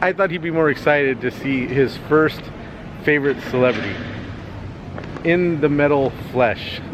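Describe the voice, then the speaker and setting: A man with an American accent, fairly high in pitch, at a moderate pace with ordinary pitch variation and long, frequent pauses, plus noticeable background noise. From Los Angeles. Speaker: cartoonist vlogger. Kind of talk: casual vlog. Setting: convention hall.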